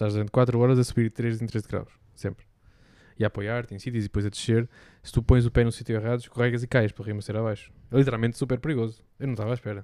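A man with a dark, mellow tone at a very fast pace, monotone and flat, in a very clean recording with a silent background and a dry, close sound with no echo. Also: medium pitch for a man. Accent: European Portuguese. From Portugal. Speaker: podcast co-host. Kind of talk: casual chat.

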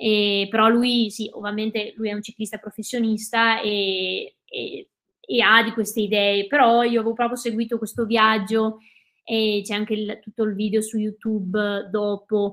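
Her voice sits fairly high for a woman, delivered at a fairly slow pace in a monotone, flat intonation. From Veneto, Cadore (Dolomites), Italy. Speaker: ultra trail runner. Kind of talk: casual interview. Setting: live video stream.

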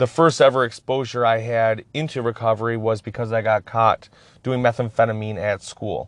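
A man with an unremarkable speaking voice, fairly even intonation and a moderate pace against a quiet background. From Upper Peninsula of Michigan. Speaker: podcast host in addiction recovery. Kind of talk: personal testimony monologue.

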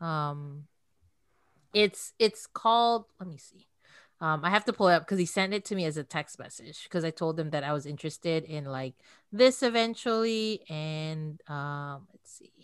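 A woman with an American accent has an ordinary speaking voice at a fairly low pitch. She talks at a moderate pace with lively intonation and big swings in loudness. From outside the US. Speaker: podcaster who reads classic books aloud. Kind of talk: interview. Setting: video call.

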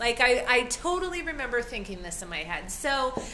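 A woman speaks at a high pitch in an animated tone, her pitch swinging very widely. There is audible room echo and noticeable background noise. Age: 40s. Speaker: podcast co-host, health and wellness. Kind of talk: casual chat.

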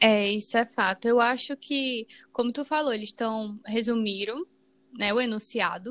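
In a Brazilian accent, a woman with a fairly high voice speaks at a moderate pace with fairly even intonation, the sound dry and close with no echo. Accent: non-Paulista regional accent, uses tu. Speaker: podcast co-host. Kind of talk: casual chat.

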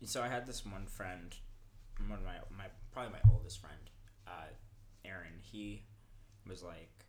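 Using vocal fry and fairly even intonation, a man with a fairly low pitch speaks in a Californian accent in a room with audible echo. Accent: Californian American. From Los Angeles (Inglewood). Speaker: rock climber and traveller. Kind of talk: casual chat.

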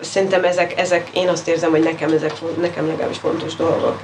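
This woman has a fairly low pitch and speaks at a moderate pace. There is noticeable background noise. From Hungary. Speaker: writer and cultural anthropologist. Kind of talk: interview conversation.

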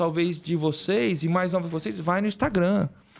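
A man speaks with a high pitch. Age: 40s. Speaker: orthopedic spine surgeon and professor. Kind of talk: casual interview. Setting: studio. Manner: halting.

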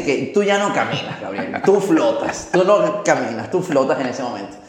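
Audible room echo surrounds a man talking at a fairly slow pace amid noticeable background noise. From Venezuela. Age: 30s. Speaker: motivational speaker and trainer. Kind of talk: interview. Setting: coworking space.

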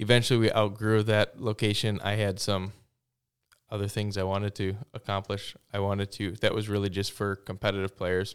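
Recorded very cleanly against a silent background, a man speaks at a moderate pace with a fairly low pitch and monotone, flat intonation. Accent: American. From Wisconsin, Stevens Point area. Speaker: small business owner, cornhole league organizer. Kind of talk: interview.

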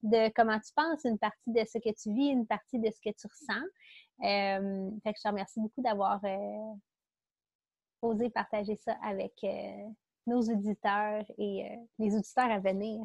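With a Quebec accent, a woman talks at a fairly slow pace, leaving long, frequent pauses, her loudness swinging widely. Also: dry, close sound with no echo. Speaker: podcast host. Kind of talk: casual interview.

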